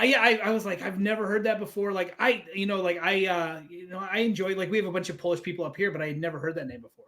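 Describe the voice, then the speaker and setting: The speech rushes along at a very fast pace with hardly any pauses. Noticeable background noise runs underneath. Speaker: interviewer. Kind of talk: casual interview questions.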